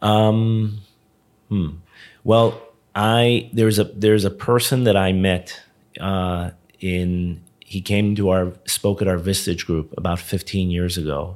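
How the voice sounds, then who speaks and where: A man with an American accent and a fairly low pitch, very slow pace and fairly even intonation, in a very clean recording with a silent background. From South Florida, Hollywood. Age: 50s. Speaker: tech company co-founder. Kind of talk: interview.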